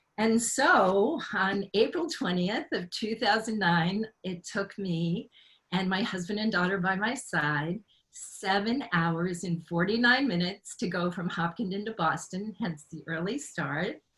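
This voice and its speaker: A woman speaks at a fairly slow pace in an ordinary speaking voice. Her pitch is medium, with ordinary variation. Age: 60s. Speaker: author and marathon runner. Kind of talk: personal testimony on a panel.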